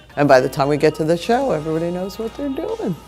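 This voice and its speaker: A woman speaks loudly at a medium pitch, her voice swinging very widely in pitch over background music. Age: 70s. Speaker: dance director and choreographer. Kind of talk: interview and rehearsal instruction.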